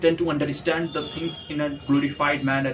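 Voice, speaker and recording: There is noticeable background noise behind a man speaking with an Indian accent. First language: Hindi. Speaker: motivational YouTuber. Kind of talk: motivational monologue. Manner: some hesitations and repetitions.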